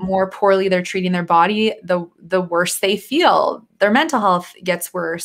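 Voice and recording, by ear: Speaking at a fairly slow pace, a woman has a fairly low pitch, a fairly bright tone and ordinary pitch variation.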